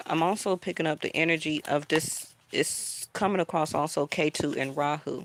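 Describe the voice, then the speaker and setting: A woman speaks in a very deep, low pitch with fairly even intonation, very even loudness and hardly any pauses. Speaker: tarot reader. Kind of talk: tarot reading. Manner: slow.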